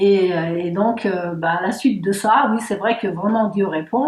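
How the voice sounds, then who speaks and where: The speaker goes at a fairly slow pace while noticeable noise sits in the background. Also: woman. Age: 60s. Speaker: church member giving testimony. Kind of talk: testimony interview. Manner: hesitant, many fillers.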